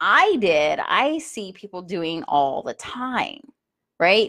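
A woman speaks in an animated tone. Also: very clean recording, silent background. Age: 40s. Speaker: podcast host, life coach. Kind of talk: solo monologue podcast.

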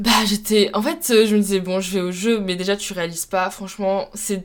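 Moderately paced speech from a woman at medium pitch, fairly even in intonation, with noticeable background noise. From France, Troyes (Champagne). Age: 20s. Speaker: student athlete, rower. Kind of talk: casual interview. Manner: hesitant, many fillers.

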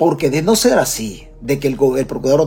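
A man with a Salvadoran accent, fairly high in pitch and fairly quick in pace, animated in tone with ordinary pitch variation, music in the background. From El Salvador. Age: 50s. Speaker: political commentator. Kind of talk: livestream commentary. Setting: Facebook live stream. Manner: repetitive, animated.

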